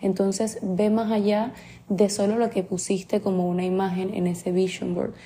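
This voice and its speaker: Somewhat breathy and dark, mellow in tone, a woman's voice keeps monotone, flat intonation at a moderate pace. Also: medium pitch for a woman. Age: 20s. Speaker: podcast host and life coach. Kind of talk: motivational solo podcast talk.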